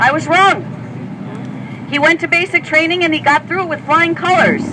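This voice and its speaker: A woman speaks at an extremely high pitch over noticeable background noise. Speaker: speaker at an advocacy event. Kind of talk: public speech. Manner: animated.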